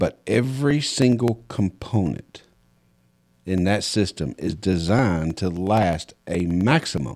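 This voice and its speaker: Over a silent background on a very clean recording, a man with a Southern US accent talks at a very slow pace in a dark, mellow tone. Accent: Southern US, noticeable. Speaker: podcast host and home inspector. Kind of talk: casual interview chat.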